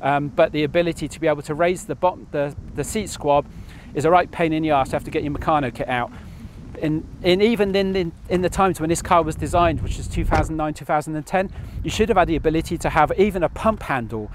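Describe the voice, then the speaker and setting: A man talks at a very fast pace with ordinary pitch variation. The sound is dry with no echo, and there is light background noise. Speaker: car owner reviewer. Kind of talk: casual review to camera. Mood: mildly exasperated, jokey. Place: open country.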